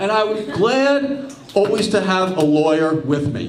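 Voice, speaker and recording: A man with an American accent at a fairly slow pace, very wide pitch swings, noticeable background noise and audible room echo. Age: 60s. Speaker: stand-up comedian. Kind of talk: stand-up. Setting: stage with audience.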